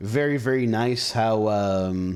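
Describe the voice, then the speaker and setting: This man speaks with an Israeli accent and ordinary pitch variation. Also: very clean recording, silent background. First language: Hebrew. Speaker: gaming streamer. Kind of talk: live gameplay commentary with chat. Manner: casual, conversational.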